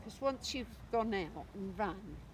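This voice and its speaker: A woman's fairly slow speech, with vocal fry. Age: 80s+. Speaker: runner. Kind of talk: interview answer.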